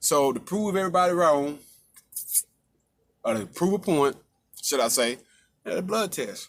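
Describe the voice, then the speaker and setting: With an animated tone, a man is talking. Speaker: vlogger. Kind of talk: personal story monologue. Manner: fast.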